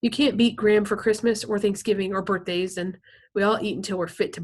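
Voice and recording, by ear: A passage read aloud in a natural voice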